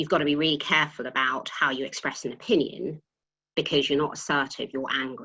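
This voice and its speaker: Against a quiet background, a woman with a British accent speaks in a very deep, low pitch, her tone bright and sharp and her pitch variation ordinary. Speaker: tax partner at a professional services firm. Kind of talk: panel webinar talk. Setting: video call. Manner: occasionally trips over words.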